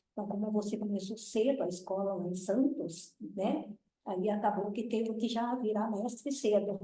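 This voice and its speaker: Delivered at a moderate pace with fairly even intonation, the speech carries audible room echo. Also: woman, fairly high pitch for a woman. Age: 60s. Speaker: tai chi master. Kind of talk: casual chat.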